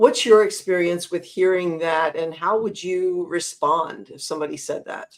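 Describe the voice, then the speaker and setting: In a plain, everyday voice with an American accent, a woman speaks at a moderate pace and medium pitch with ordinary pitch variation, hardly any pauses and big swings in loudness. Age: 60s. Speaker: podcast host. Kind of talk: interview. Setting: livestream.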